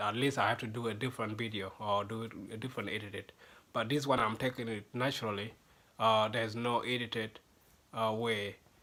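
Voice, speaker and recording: A man with a South Sudanese accent, medium-pitched, bright and sharp in tone, flat and monotone, at a moderate pace. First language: Dinka. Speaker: language teacher. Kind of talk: tutorial. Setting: home video recorded to camera. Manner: halting.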